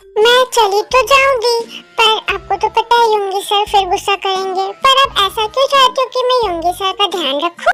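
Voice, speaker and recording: With clear music in the background, a woman does a put-on character voice at an extremely high pitch, with hardly any pauses. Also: moderate pace. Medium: fan dub. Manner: polite, bubbly.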